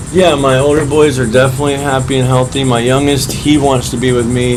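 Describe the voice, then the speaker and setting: A man with an American accent talks at a fairly quick pace over background music, with audible room echo. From central Florida. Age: 30s. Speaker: homeless man. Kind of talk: interview.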